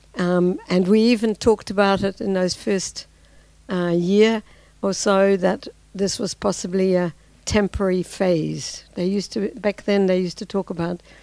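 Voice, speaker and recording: A dark, mellow tone in a New Zealand accent, at a moderate pace with fairly even intonation. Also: woman, medium pitch for a woman. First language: Dutch. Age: 60s. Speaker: civil society activist. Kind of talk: talk to an audience. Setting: lecture with audience and translator. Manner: halting with fillers.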